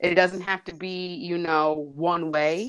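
A woman with an American accent and a plain, everyday voice, fairly low in pitch and at a fairly slow pace, against a quiet background. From New Jersey. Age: 30s. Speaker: teacher and dancer. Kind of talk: interview.

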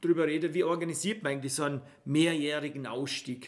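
Moving at a fairly quick pace, a man speaks with a fairly high pitch and fairly even intonation. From Austria, Vorarlberg (Bregenz area). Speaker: travel podcast host. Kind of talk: casual chat.

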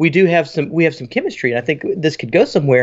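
The man speaking has a high-pitched voice. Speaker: podcast host, pastor. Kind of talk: casual podcast chat. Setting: home, remote call with noise.

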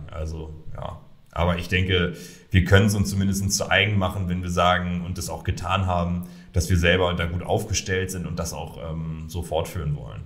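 A man speaks with a very deep, low pitch and a somewhat breathy sound. His intonation is fairly even, and audible room echo surrounds him. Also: moderate pace. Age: 30s. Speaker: founder and managing director of an online marketing portal. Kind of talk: interview. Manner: hesitant with many fillers.

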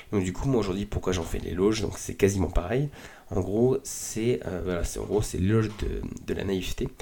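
A man's very deep, low voice, dark and mellow in tone, with ordinary pitch variation. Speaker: podcast host. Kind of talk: solo podcast monologue. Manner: casual, hesitant with many fillers.

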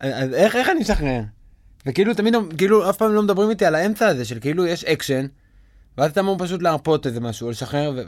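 On a very clean recording with a silent background, a man with a high pitch talks very fast, his pitch swinging very widely. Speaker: podcast host and actor. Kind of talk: casual chat. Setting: recording studio.

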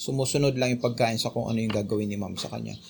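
A man speaks in a somewhat breathy voice. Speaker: Bible study leader. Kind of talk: Bible study teaching.

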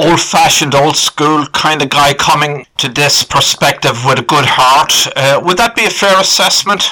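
With an Irish accent, a man speaks at a moderate pace with hardly any pauses, very even loudness, ordinary pitch variation and a fairly high pitch. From Ireland. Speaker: podcast host. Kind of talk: interview.

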